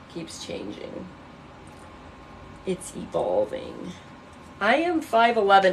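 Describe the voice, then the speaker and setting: A woman with an American accent is heard against noticeable background noise. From Illinois. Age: 30s. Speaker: livestreamer. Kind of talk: casual livestream chat. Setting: bedroom livestream. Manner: animated.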